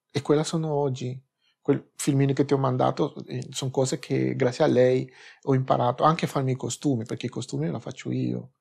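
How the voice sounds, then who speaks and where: A man keeps a moderate pace while the background stays quiet. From Peru. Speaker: drag performer. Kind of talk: interview answer. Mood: modest, calm. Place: studio.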